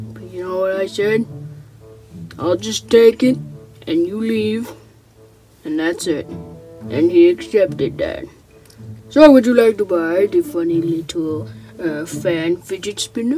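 A cartoonish character voice at a middle pitch talks at a fairly slow pace with long, frequent pauses, faint music playing in the background. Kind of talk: comic puppet skit voice. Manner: slick, rambling sales patter.

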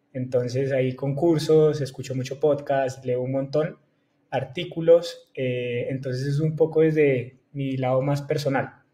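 The man's voice is somewhat breathy, with a dark, mellow tone and fairly even intonation. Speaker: guest. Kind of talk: interview answer. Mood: friendly, relaxed, smiling. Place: home room. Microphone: earbuds.

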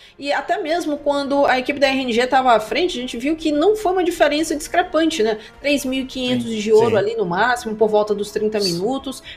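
A woman with a high pitch talks at a fairly quick pace with lively intonation and hardly any pauses, over noticeable background noise. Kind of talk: esports commentary with analytical replay explanation. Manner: calmer, explanatory, conversational.

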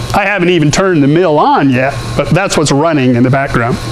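A man talks at a moderate pace with ordinary pitch variation as noticeable background noise carries on behind him. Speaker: metal artist demonstrating a machine. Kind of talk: tutorial. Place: workshop.

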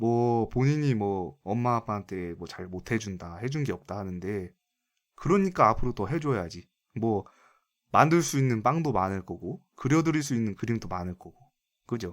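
On a very clean recording with a silent background, a man with an unremarkable speaking voice at medium pitch talks at a moderate pace with lively intonation and big swings in loudness. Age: 20s. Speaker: gaming streamer taking viewer calls. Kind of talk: casual chat.

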